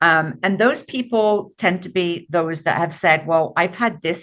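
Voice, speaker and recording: A woman with an unremarkable speaking voice talks at a fairly slow pace. Her pitch is fairly low with ordinary variation, over a quiet background. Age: 60s. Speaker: author and book publisher. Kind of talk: podcast interview.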